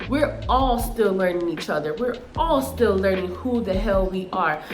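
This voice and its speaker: Speaking at a moderate pace, a woman with an American accent sounds animated, her intonation lively. Audible room echo and music in the background accompany her. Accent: Chicago urban with Spanish flavour. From Chicago, Illinois. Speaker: YouTuber. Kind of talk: casual advice monologue.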